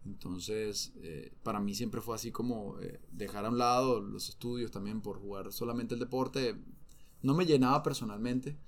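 A man speaks in a Venezuelan accent. His pitch is medium, with ordinary variation. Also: moderate pace. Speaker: former professional footballer. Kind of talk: interview conversation.

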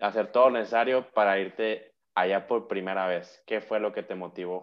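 Here a man talks in a normal speaking voice at a fairly slow pace. His pitch sits fairly low and his intonation stays fairly even. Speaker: podcast host and German teacher. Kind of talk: casual interview chat.

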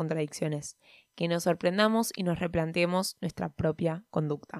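A woman with a Rioplatense accent, fairly low in pitch, at a moderate pace, in a dry, close sound with no echo. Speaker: podcaster. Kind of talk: reading aloud. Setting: recording at home by day, sun on face.

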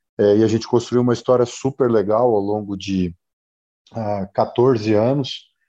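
A man's medium-pitched, dark, mellow voice at a fairly slow pace, with fairly even intonation, against a quiet background. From Brazil, Mato Grosso (Cuiabá). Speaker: agribusiness executive and startup mentor. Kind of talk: interview.

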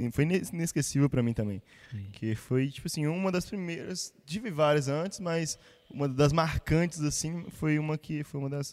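A man talks in a normal speaking voice at a moderate pace. His pitch is fairly high, with ordinary variation. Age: 20s. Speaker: church musician. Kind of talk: casual chat.

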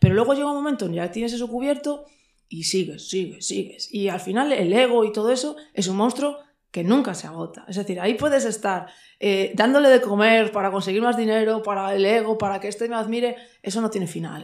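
An ordinary speaking voice carries ordinary pitch variation. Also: woman, fairly high pitch for a woman. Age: 30s. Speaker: shop owner and patch designer. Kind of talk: casual chat.

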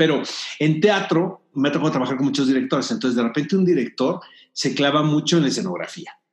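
A man speaks in a plain, everyday voice, fairly high in pitch, with lively intonation. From Mexico, Tijuana. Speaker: film critic and producer. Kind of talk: interview.

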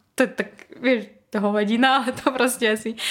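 Behind this woman there is noticeable background noise. Her pitch varies in an ordinary way. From Belarus. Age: 20s. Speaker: former conservatory student, marketing worker. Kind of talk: casual interview.

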